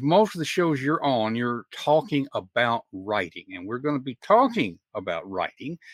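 With a Southern US accent, a man speaks at medium pitch and a fairly slow pace, his pitch swinging very widely. The sound is dry and close with no echo, and the recording is very clean with a silent background. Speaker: podcast host. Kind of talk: interview conversation. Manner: warm, chatty.

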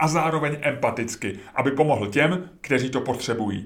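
This man's voice sits fairly high in pitch. He keeps a moderate pace. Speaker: podcaster and writer. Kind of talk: reading aloud.

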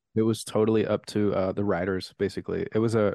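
Against a quiet background, a man talks at a moderate pace in a fairly low, dark, mellow voice with monotone, flat intonation and a dry, close sound with no echo. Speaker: college communications teacher. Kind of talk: casual chat. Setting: video call.

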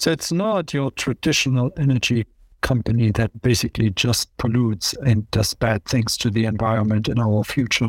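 With an ordinary speaking voice, a man speaks at medium pitch with ordinary pitch variation and very even loudness, the sound dry and close with no echo. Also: moderate pace. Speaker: podcast host and security policy academic. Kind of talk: conversational analysis of news.

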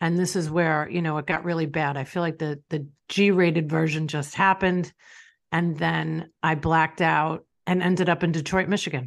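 Over a quiet background, a woman with a New York accent speaks in a very deep, low voice with monotone, flat intonation. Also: moderate pace. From Long Island, New York. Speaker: business owner and author. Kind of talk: personal testimony interview.

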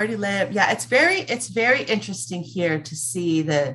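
With an American accent, a woman speaks at a moderate pace in a fairly low voice, her pitch swinging very widely. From Los Angeles, US West Coast. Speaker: small business owner. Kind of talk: casual interview.

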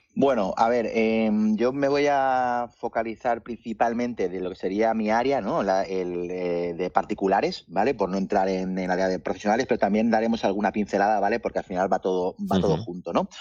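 This man has a normal speaking voice at a fairly low pitch with ordinary pitch variation. He talks at a fairly quick pace with hardly any pauses. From Mallorca, Spain. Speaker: marketing and data executive. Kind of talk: interview.

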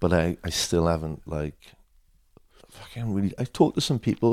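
With a South Wales accent, a man talks at a moderate pace in a very deep, low pitch. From Wales, Swansea. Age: 50s. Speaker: skateboard photographer. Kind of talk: interview. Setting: at home.

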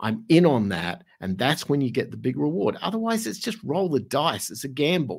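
Vocal fry runs through this voice with an Australian accent, its pitch swinging very widely. The pace is moderate. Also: man. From Australia, Adelaide. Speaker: music studio owner and entrepreneur. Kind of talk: casual interview. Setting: video call.

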